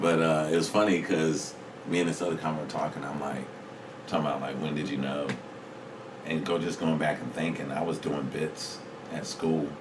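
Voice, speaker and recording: A man with an American accent talks at a fairly quick pace in a very deep, low pitch, flat and monotone, with long, frequent pauses. Noticeable background noise and audible room echo fill the recording. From North Carolina, Raleigh (from Virginia before). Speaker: comedian. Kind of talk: casual chat.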